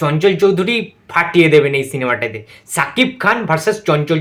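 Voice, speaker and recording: A man speaks with a Kolkata accent at a high pitch. His tone is animated and excited, with lively intonation. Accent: Kolkata Bengali. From West Bengal, India. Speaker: YouTuber film reviewer. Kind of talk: reaction video review. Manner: animated, excited.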